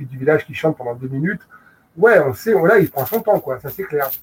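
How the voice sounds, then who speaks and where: The recording is dry and close, without any echo. Intonation rises and falls in a lively way. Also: man. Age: 40s. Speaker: film video publisher. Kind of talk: casual chat. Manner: halting, many repetitions and fillers.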